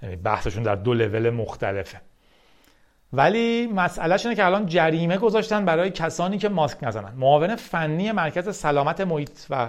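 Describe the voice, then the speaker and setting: A man at a fairly high pitch with very wide pitch swings, a moderate pace, and a quiet background. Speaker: tech podcast host. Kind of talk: solo news monologue. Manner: casual conversational.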